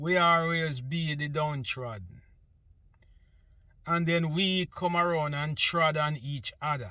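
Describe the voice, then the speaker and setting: Very slowly and with long, frequent pauses, a man speaks in a Jamaican accent, his fairly high voice bright and sharp in tone. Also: ordinary pitch variation. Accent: Jamaican English with patois features. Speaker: vlogger. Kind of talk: casual monologue.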